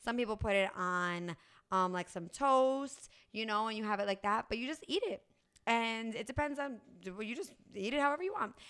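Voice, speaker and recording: A woman with a plain, everyday voice speaks at a fairly quick pace, her fairly high pitch carrying lively intonation on a very clean recording with a silent background. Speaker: podcast host. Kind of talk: casual interview.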